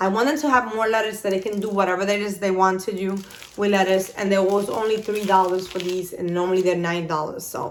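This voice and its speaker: Amid noticeable background noise and audible room echo, a woman with a non-native accent speaks very fast at a medium pitch with ordinary pitch variation. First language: not English. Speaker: YouTuber, mother. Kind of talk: haul video, casual chat. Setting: home office. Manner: animated.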